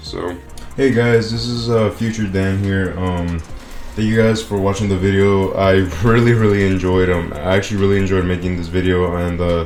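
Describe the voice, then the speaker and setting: Amid noticeable background noise and audible room echo, a man with a very deep, low pitch talks at a moderate pace. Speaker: gaming YouTuber reviewing a music album. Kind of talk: casual video commentary. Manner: monotone; halting, many repeats and fillers.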